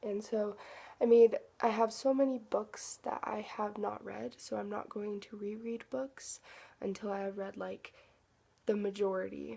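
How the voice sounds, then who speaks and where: Loudness swings widely throughout. The pace is fairly slow. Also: woman. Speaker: book vlogger. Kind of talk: casual chat. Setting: at home. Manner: soft-spoken; halting.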